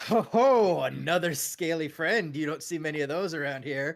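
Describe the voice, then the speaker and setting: In a very clean recording with a silent background, a man does a booming, put-on character voice at a fairly high pitch and a moderate pace. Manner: jovial, hearty.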